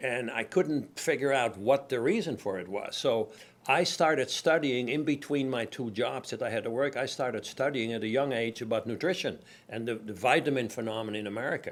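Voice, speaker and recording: Here a man with a Dutch accent talks at a medium pitch and a fairly quick pace, with ordinary pitch variation. The recording is very clean, with a silent background. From Netherlands, Amsterdam. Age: 70s. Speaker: company founder. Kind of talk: interview.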